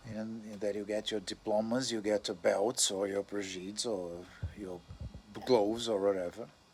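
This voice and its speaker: With a non-native accent, a man speaks at a moderate pace and a fairly low pitch in a monotone, flat intonation. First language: not English. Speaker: astrologer. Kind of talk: casual monologue. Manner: halting, with self-corrections.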